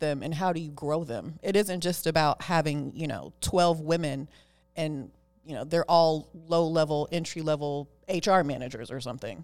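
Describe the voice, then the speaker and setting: This is a normal speaking voice with an American accent at a moderate pace. The recording is very clean, with a silent background. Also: woman. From Oakland, California. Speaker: tech lawyer and executive. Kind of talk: interview.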